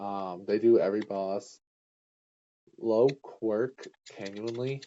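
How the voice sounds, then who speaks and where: A man talks quietly at a very slow pace. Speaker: gaming streamer. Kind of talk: casual let's-play commentary. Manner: hesitant, many fillers. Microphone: too quiet.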